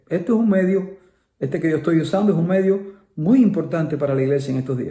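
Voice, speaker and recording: A man speaks in a high pitch with a dark, mellow tone and ordinary pitch variation. Audible room echo surrounds his voice. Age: 70s. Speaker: pastor. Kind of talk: sermon. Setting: online livestream from home.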